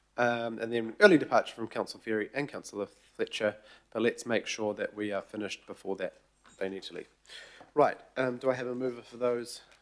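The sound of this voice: A man speaks at a medium pitch with a croaky voice. His pace is fairly quick and his intonation fairly even.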